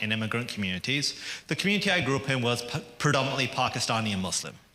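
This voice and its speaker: A man with a British accent talks at a very fast pace and a medium pitch. Audible room echo surrounds his voice. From England. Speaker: activist speaker. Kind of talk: public speech. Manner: conversational, with jokes and hesitations.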